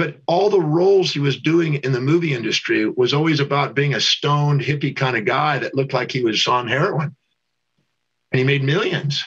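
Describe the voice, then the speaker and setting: At a fairly quick pace, a man talks in an unremarkable speaking voice, fairly high in pitch with ordinary variation. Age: 60s. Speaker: teacher and life coach. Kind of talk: interview.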